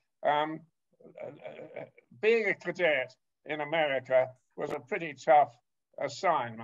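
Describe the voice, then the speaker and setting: The speaker, with a British accent, talks at a very slow pace with lively intonation. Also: man. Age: 80s+. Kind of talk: interview. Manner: halting.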